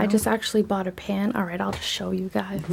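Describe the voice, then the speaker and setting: A soft-spoken woman with a medium pitch. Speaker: lifestyle vlogger. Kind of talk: casual vlog.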